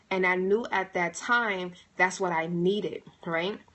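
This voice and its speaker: A normal speaking voice from a woman, mid-range in pitch and fairly level in intonation. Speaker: motivational speaker. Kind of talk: livestream monologue. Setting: livestream.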